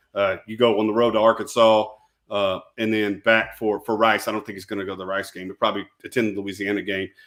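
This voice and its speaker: A man talks at a very fast pace in a fairly low pitch, with monotone, flat intonation and big swings in loudness. The recording is very clean, with a silent background. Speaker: sports talk show co-host. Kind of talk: live sports talk show.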